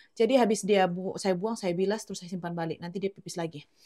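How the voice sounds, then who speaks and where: A woman speaks with a dark, mellow tone and ordinary pitch variation. The sound is dry and close with no echo. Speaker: home cooking vlogger and mother. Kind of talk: casual cooking vlog. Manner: chatty, animated.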